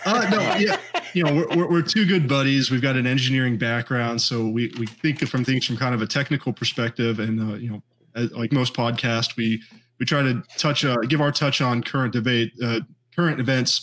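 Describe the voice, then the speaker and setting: At a moderate pace, a man uses a normal speaking voice at medium pitch with ordinary pitch variation. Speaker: podcast co-host guest. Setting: video call.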